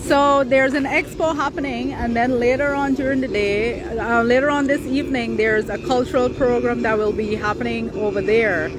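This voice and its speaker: Over clear background music, a woman talks at a moderate pace with hardly any pauses. Her high voice has ordinary pitch variation and a dry sound with no echo. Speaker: livestream host. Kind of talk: casual vlog chat. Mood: excited, upbeat. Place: market. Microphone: phone near.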